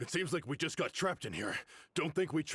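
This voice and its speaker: A man's put-on character voice, fairly high-pitched, at a very fast pace. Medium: video game.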